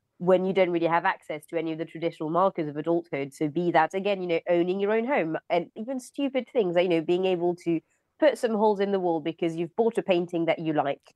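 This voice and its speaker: A woman's fairly low-pitched voice at a very fast pace, with hardly any pauses and ordinary pitch variation. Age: 30s. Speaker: journalist and author. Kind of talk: panel discussion.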